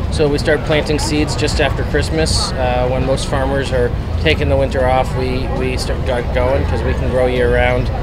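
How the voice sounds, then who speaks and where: Moderate pace, with music in the background. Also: man. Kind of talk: interview answer. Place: market.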